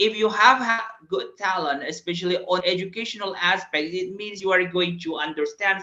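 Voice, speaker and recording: A man with a high voice speaks at a moderate pace, his voice raised and projected. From Indonesia. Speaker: English teacher and entrepreneur. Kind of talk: webinar presentation. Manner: halting, many fillers.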